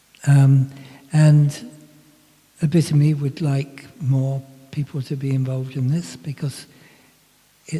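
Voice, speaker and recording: Over noticeable background noise, a man speaks fairly slowly in a fairly high pitch with fairly even intonation. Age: 80s+. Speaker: speaker on personal development. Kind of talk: Q&A discussion. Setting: talk with live audience and Zoom. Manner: halting.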